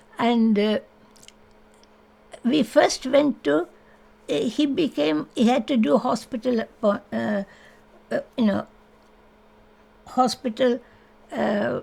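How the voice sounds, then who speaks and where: Speaking at a very slow pace with long, frequent pauses, a woman in an Indian accent uses a fairly high pitch, a dark, mellow tone, vocal fry, and lively intonation. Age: 80s+. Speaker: interviewee sharing life story. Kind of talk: oral history interview. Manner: halting.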